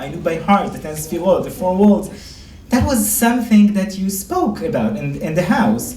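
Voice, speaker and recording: Over noticeable background noise and audible room echo, a man talks in a high pitch with ordinary pitch variation. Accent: Israeli. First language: Hebrew. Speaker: rabbi and lecturer. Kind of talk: lecture.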